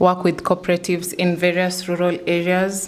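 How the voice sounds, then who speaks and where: At a moderate pace, a woman speaks in a fairly low pitch over noticeable background noise. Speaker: tech startup staff presenting platform. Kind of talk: product demo on ecosystem tour.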